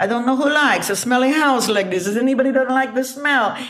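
In a put-on character voice, a female-sounding speaker talks very fast in a high, nasal pitch over light background noise. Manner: playful, teasing.

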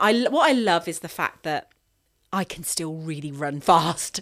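This is an ordinary speaking voice from a woman, with lively intonation at a moderate pace. The recording is very clean, with a silent background. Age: 40s. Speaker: ultra runner and run coach. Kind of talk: interview.

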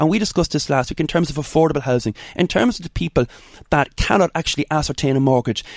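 A man with an Irish accent and a fairly high voice speaks in a dry, close recording with no echo. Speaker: politician. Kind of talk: radio interview.

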